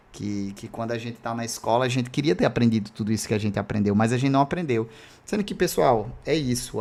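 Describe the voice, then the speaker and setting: A man speaks at a medium pitch and a fairly quick pace. His tone is dark and mellow. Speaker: math teacher. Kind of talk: live online lecture. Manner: fast; casual, filler-heavy.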